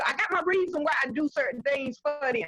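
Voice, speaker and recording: A woman's animated, high-pitched voice shows ordinary pitch variation. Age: 60s. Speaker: community member, mother. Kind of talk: community discussion on video call.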